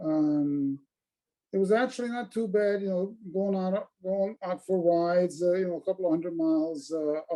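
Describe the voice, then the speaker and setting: Here a man speaks with a high pitch, a dark, mellow tone and ordinary pitch variation. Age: 70s. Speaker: retired motorcyclist. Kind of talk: casual chat. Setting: video call.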